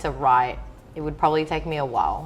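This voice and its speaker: The speaker has a Greek accent and fairly even intonation. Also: woman. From Greece, small island. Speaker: DJ. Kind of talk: interview.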